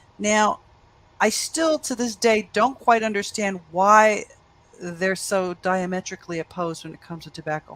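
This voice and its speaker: A woman with a New York accent, medium pitch, lively intonation and a moderate pace. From US, New York. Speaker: panel moderator. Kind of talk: panel moderation.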